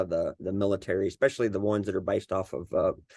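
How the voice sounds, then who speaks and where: A man with a Southern US accent at a very fast pace, against a quiet background. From US South, Arkansas. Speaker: cybersecurity leader and veteran mentor. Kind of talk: casual podcast interview.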